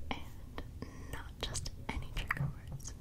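Whispering from a woman, at a very slow pace. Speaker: ASMR creator. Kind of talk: soft whispered ASMR chat. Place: home room. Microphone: studio mic.

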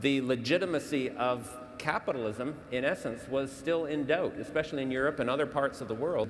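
Over music in the background, a man speaks at a very fast pace with ordinary pitch variation. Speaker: panelist. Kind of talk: panel debate answer. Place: stage. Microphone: lapel.

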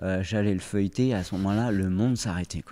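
A man's voice with fairly even intonation, over a quiet background. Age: 40s. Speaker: former pro windsurfer, oriental medicine practitioner; podcast guest. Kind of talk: interview. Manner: halting. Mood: calm, reflective storytelling. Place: studio. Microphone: studio mic.

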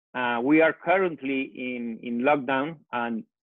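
The speech comes at a fairly slow pace with ordinary pitch variation, set against a quiet background with a dry sound and no echo. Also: man. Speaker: panelist. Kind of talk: panel discussion remarks. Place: home room. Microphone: earbuds.

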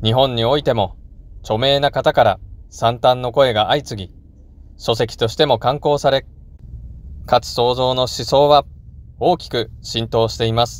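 Speaking at a fairly slow pace with long, frequent pauses, a man holds a medium pitch and fairly even intonation. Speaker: religious channel host. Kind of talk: memorial address. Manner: formal.

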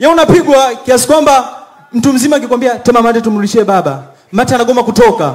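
The speaker keeps a fairly quick pace with very even loudness and ordinary pitch variation. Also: man, extremely high pitch for a man. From Tanzania, Mbeya; Tanzania. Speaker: comedian. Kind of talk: stand-up. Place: stage. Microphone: handheld.

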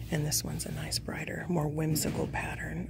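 Someone whispers while music plays in the background. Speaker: shopper vlogger. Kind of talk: casual vlog chat. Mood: excited, delighted. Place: shop. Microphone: phone near.

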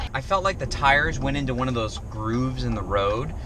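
The man talks at a moderate pace in a dry sound with no echo, with noticeable background noise behind him. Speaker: RV travel vlogger. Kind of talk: casual vlog chat. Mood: shaken, recounting scary event. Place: car. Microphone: phone near.

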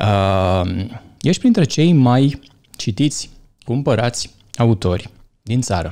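Over a quiet background, a man speaks very slowly in a dark, mellow tone, his loudness very even and his speech broken by long, frequent pauses. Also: medium pitch for a man. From Romania, Bărăgan region; Romania. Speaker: podcast host. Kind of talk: casual interview. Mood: calm, thoughtful. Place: studio. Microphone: studio mic.

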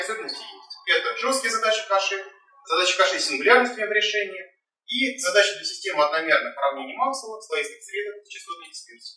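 A man speaks in a raised, projected voice, pitched high for a man. He talks very fast, and the room echo is audible. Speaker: doctoral candidate defending dissertation; candidate. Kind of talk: academic presentation. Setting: in-person council meeting room. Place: hall. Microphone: camera far.

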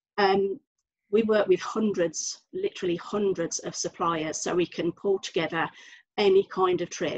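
A woman with a Birmingham accent, fairly even intonation and a moderate pace. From Birmingham, England. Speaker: travel agent. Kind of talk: panel discussion on video call. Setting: video call. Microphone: video call.

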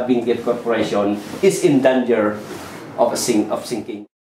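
At a fairly slow pace, a man talks amid light background noise and audible room echo. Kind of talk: explanatory talk at a whiteboard. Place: office.

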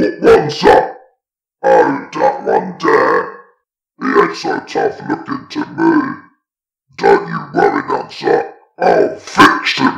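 In a put-on character voice pitched extremely high, a man speaks at a very slow pace with long, frequent pauses. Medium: read story.

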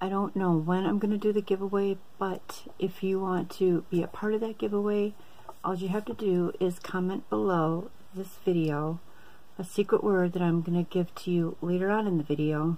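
Her intonation stays fairly even. The woman speaks at a moderate pace. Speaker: haul vlogger. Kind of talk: casual vlog chat. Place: home room. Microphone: phone near.

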